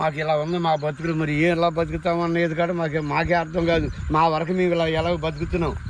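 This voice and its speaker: Monotone, flat intonation from a man with a fairly high pitch, very even loudness and noticeable background noise. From Andhra Pradesh, Kolleru Lake area. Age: 70s. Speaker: fisherman villager. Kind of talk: interview testimony.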